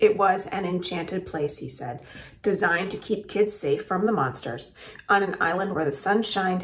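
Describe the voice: Someone reads aloud in a plain way.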